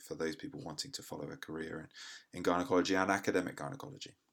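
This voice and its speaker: On a very clean recording with a silent background, a man with an English accent speaks in a very deep, low pitch with ordinary pitch variation. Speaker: podcast host and gynecologist. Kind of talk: interview. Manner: halting, many fillers.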